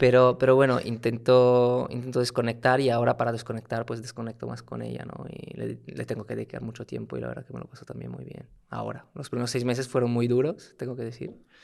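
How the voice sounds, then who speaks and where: A man with an Italian accent at a very fast pace, hardly any pauses, and big swings in loudness. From Italy (Turin). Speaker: startup founder and CEO. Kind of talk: casual interview. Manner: halting, many repetitions and fillers.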